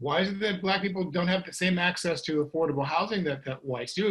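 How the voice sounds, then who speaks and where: Speaking with an American accent, a man uses lively intonation and a high pitch. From US Midwest, St. Louis, Missouri. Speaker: author and guest speaker. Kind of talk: panel discussion. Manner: fast; halting, many fillers and restarts.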